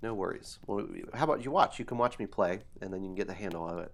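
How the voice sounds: The pitch varies in an ordinary way as the speaker reads in a natural reading voice.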